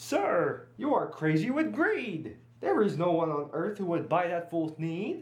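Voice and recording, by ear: This put-on character voice moves at a fairly slow pace with hardly any pauses. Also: man, high pitch for a man.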